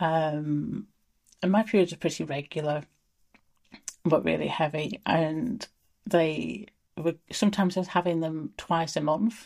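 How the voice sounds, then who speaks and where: In an English accent, a woman speaks at a moderate pace with ordinary pitch variation, recorded very cleanly against a silent background. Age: 40s. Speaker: menopause interviewee. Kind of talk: casual chat.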